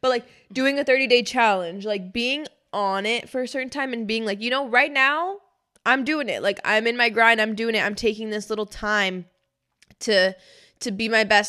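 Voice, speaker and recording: Her tone bright and sharp, a woman speaks at a moderate pace with ordinary pitch variation against a quiet background. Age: 20s. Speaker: podcast co-host. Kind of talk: casual chat. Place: studio. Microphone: studio mic.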